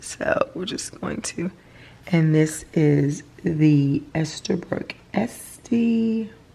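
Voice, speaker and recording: Over noticeable background noise, a woman with a fairly low pitch speaks at a very slow pace with lively intonation. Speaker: stationery and planner YouTuber. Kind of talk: product review and demo. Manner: casual, with filler words.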